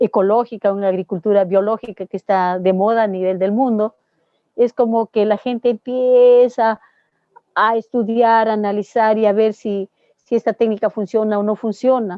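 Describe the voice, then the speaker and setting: A woman talks at a moderate pace with a fairly high pitch. Hers is an ordinary speaking voice with fairly even intonation. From Peru. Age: 60s. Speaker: organic dairy farmer and agronomist. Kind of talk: interview answer.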